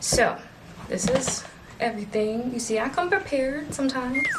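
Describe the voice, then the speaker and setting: Music plays in the background as a woman speaks in a high pitch, with audible room echo. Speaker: thrift haul vlogger. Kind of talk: casual haul video chat. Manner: animated.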